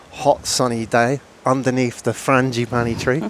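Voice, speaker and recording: At a fairly slow pace, a man speaks in a normal speaking voice at medium pitch. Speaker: podcast host. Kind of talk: interview podcast.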